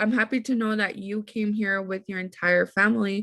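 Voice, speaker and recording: A woman with a Spanish accent, fairly high-pitched and bright, sharp in tone, at a moderate pace against a quiet background. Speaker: podcast host and teacher. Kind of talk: casual interview chat. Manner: animated.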